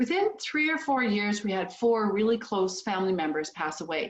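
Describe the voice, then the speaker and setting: With a Canadian accent, a woman speaks in an unremarkable speaking voice at a medium pitch. Her pace is moderate and her intonation lively. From Canada, small town. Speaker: business founder. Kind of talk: motivational speech. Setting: video call.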